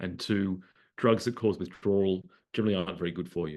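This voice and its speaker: Against a quiet background, a man with an Australian accent speaks in a very deep, low pitch. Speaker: psychiatrist and researcher. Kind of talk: talk to an online audience. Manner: hesitant, many fillers and repeated words.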